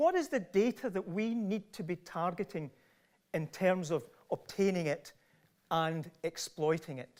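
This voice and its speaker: A man speaks with a Glasgow accent at a high pitch. His pace is fairly slow, with ordinary pitch variation. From Scotland, Largs. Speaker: professor. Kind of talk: lecture.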